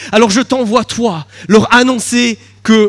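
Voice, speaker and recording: The man's voice is high in pitch with ordinary pitch variation, in a dry, close sound with no echo. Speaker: pastor. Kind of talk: sermon.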